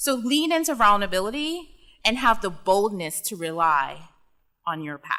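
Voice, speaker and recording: A bright, sharp tone with an American accent, very wide pitch swings and big swings in loudness, on a very clean recording with a silent background. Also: woman, medium pitch for a woman, moderate pace. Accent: Caribbean accent, slips in and out. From US Virgin Islands, Saint Thomas. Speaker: commencement speaker, tech executive. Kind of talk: commencement speech. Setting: graduation ceremony stage with audience.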